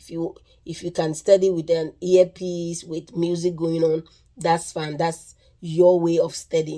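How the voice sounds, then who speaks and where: In a Ghanaian accent, a woman speaks at a fairly slow pace with a fairly low pitch, a dark, mellow tone, monotone, flat intonation and big swings in loudness. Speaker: nursing vlogger. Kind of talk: casual tutorial. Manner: halting, with repeated words and restarts.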